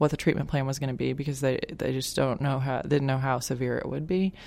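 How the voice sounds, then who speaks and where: In an Arkansas accent, a woman speaks with a very deep, low pitch and fairly even intonation. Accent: Southern US (Arkansas). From Arkansas, Little Rock. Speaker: patient's parent. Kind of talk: interview testimony. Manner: hesitant, many fillers.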